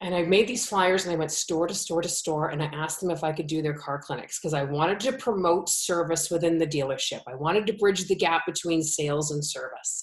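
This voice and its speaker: In a Canadian accent, a woman talks at a fairly low pitch and a fairly quick pace, barely pausing, her tone animated. Her pitch varies in an ordinary way, and there is noticeable background noise. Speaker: automotive educator, business owner. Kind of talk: interview.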